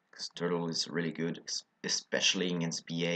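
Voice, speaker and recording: A man speaks with a French accent. His pitch is very deep and low. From France. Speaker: card game video creator. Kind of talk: deck profile tutorial. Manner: halting, many fillers.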